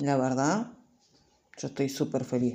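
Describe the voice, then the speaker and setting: Against a quiet background, a woman with a Rioplatense accent speaks at a moderate pace in a dark, mellow tone. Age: 30s. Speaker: YouTuber. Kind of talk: casual vlog monologue.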